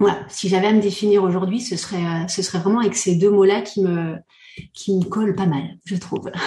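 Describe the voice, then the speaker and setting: A woman speaks at a medium pitch in a dark, mellow, somewhat breathy tone, her intonation monotone and flat, with audible room echo. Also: moderate pace. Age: 40s. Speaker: coach and entrepreneur. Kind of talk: casual chat. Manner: halting.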